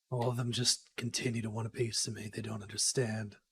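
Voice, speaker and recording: In a raspy, put-on character voice, a man talks at a fairly quick pace and medium pitch with monotone, flat intonation. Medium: actual play. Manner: smug, sly.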